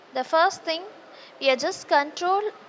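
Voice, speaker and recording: This woman speaks with a Tamil accent. Her pitch variation is ordinary. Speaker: teacher. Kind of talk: lecture. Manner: hesitant, with frequent fillers.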